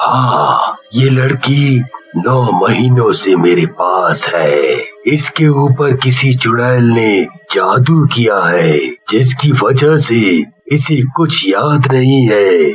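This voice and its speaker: A man puts on a cartoonish character voice at medium pitch. He speaks very slowly with lively intonation. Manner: authoritative, grave.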